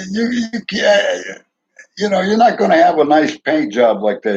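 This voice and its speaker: With a New York accent, a man talks at an unhurried but not slow tempo. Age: 70s. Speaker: retired truck driver, vlogger. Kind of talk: casual monologue vlog. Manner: halting, repetitive stammering.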